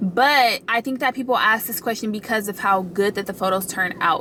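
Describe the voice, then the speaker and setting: A woman talks at a fairly quick pace with fairly even intonation. Noticeable background noise runs underneath. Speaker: lifestyle vlogger. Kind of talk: casual vlog tutorial. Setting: in a car.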